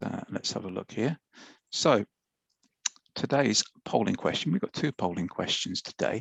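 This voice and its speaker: A man with a British accent speaks at a moderate pace in a fairly low pitch. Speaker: IT expert presenter. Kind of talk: webinar presentation. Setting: live webinar.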